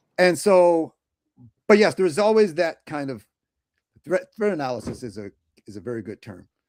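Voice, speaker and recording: A fairly high-pitched man talks at a moderate pace with long, frequent pauses, very wide pitch swings and big swings in loudness, recorded with a dry, close sound and no echo. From US Midwest (St. Louis, Missouri). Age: 60s. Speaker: animator. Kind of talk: casual interview chat. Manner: halting, with many restarts.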